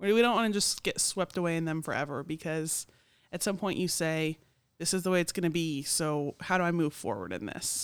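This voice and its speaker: A woman with a plain, everyday voice, fairly low pitch, ordinary pitch variation and a fairly quick pace. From Oklahoma City. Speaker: church podcast co-host. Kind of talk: casual chat.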